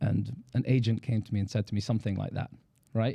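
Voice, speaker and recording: Very fast and somewhat breathy, a man speaks at medium pitch in a dark, mellow tone with monotone, flat intonation. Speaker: rabbi and therapist. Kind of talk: podcast interview. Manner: eloquent.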